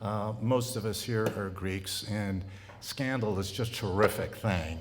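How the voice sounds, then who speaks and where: Amid noticeable background noise and audible room echo, a man with an American accent talks fairly slowly in a fairly low voice with fairly even intonation. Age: 70s. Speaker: college president. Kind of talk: speech to clergy. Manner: halting.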